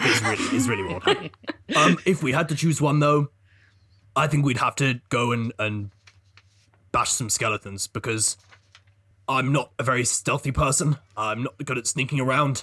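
In a put-on character voice, a man speaks at a medium pitch and a moderate pace. Long, frequent pauses break up his lines. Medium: actual play. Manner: cheerful, blunt.

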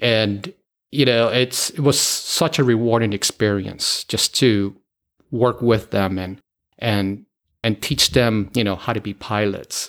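An American-accented man at medium pitch, a plain, everyday voice, fairly slow pace, ordinary pitch variation, and a very clean recording with a silent background. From Miami, Florida, US. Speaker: airline pilot. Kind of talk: interview.

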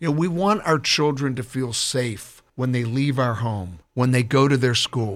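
With a normal speaking voice, a man talks at a fairly slow pace and medium pitch, using lively intonation and hardly any pauses. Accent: American. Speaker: political candidate. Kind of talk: radio interview. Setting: studio.

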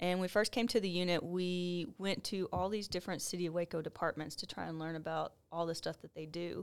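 A woman with an American accent talks at a fairly quick pace and a fairly low pitch, her intonation fairly even, in a normal speaking voice. The recording is very clean, with a silent background. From Texas. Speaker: police officer. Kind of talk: casual chat.

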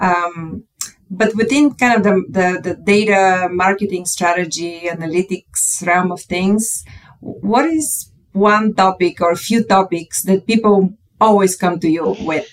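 A woman speaks fairly slowly in a plain, everyday voice, medium in pitch with ordinary pitch variation. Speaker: podcast co-host. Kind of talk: podcast interview.

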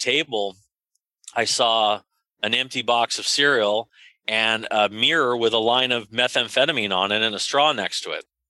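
Using an American accent, a man speaks at medium pitch and a moderate pace with a bright, sharp tone and fairly even intonation, the sound dry and close with no echo on a very clean recording with a silent background. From US West Coast, North San Diego County. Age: 40s. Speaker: prevention coalition leader and health policy advocate. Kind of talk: interview conversation. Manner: conversational, with filler hesitations.

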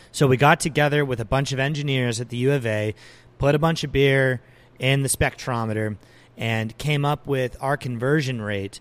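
A man with an unremarkable speaking voice talks at a moderate pace and medium pitch, keeping his intonation fairly even. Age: 20s. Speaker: brewery owner. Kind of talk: interview. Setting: brewery.

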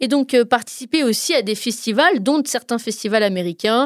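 With lively intonation and a fairly high pitch, a woman talks at a moderate pace on a very clean recording with a silent background. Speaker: radio music columnist. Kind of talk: radio chronicle, casual presentation. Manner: animated.

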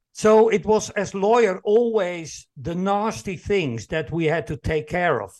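With a Dutch accent, a high-pitched man speaks at a fairly slow pace with lively intonation and hardly any pauses over a quiet background. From Netherlands. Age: 60s. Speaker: employee engagement consultant and speaker. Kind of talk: interview conversation.

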